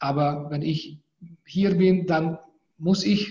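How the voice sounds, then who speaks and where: A man's dark, mellow tone holds fairly even intonation. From Hungary. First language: Hungarian (speaking German). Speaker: law professor. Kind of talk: interview. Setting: video call from university office.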